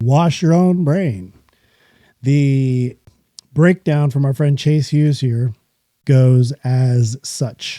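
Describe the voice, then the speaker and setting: A man speaks very slowly with long, frequent pauses, his pitch fairly high with ordinary variation. His tone is dark and mellow, his loudness very even, and the sound is dry and close with no echo. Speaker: podcast host. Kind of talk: solo podcast monologue. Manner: casual, conversational.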